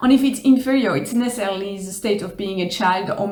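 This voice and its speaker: There is noticeable background noise as a woman speaks with a French accent at a medium pitch. Her pace is fairly quick. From Switzerland. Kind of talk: casual talk to camera.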